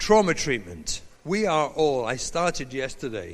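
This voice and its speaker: A man at a moderate pace with an English accent and audible room echo. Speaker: rabbi and parenting educator. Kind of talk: lecture. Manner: animated.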